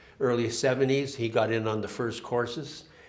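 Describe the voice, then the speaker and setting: A man with a Canadian accent speaks with fairly even intonation amid noticeable background noise and audible room echo. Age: 70s. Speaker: timber framer. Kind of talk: public talk with slides. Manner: halting, many fillers and restarts.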